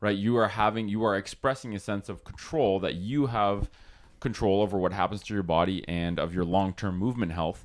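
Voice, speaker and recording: Fairly quick and fairly low-pitched, a man speaks in an ordinary speaking voice with ordinary pitch variation. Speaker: podcast host and physiotherapist. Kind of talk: casual chat. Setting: home recording.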